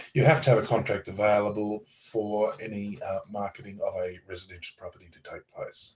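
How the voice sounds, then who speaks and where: A man with an Australian accent, fairly quick and with hardly any pauses, his loudness swinging widely. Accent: Australian twang. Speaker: lawyer. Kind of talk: interview explanation.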